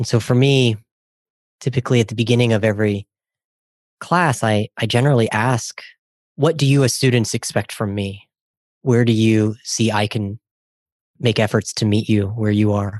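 Against a quiet background with a dry, close sound and no echo, a man of medium pitch speaks at a moderate pace in an American accent, with fairly even intonation and long, frequent pauses. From US Midwest (Ohio). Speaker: professor and podcast co-host. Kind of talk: interview, casual academic conversation.

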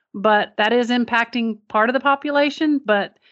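A woman speaks in an American accent at a fairly slow pace. Her pitch varies in an ordinary way. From Kentucky. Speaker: lung cancer survivor and non-profit founder. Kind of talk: interview.

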